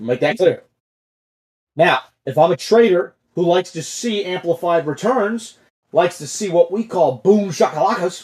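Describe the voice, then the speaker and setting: A man's animated, high-pitched voice with big swings in loudness. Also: lively intonation, moderate pace. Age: 20s. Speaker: stock trading livestream host. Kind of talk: casual chat.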